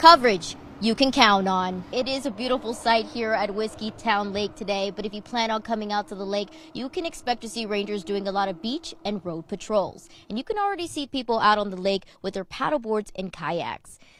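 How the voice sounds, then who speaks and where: With an American accent, a woman talks at a fairly quick pace and fairly high pitch, with ordinary pitch variation and hardly any pauses, over noticeable background noise. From Texas, McAllen. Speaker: TV news reporter. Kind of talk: live news report. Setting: outdoors on location.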